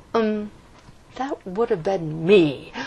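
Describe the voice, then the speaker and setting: The voice is a put-on character voice that sounds female. It sits at a middle pitch. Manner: muttered, sheepish.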